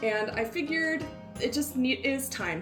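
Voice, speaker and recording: With music playing behind, the speech moves along at a moderate pace. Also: woman. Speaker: YouTube home cooking and DIY creator. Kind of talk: casual talk to camera. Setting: home kitchen.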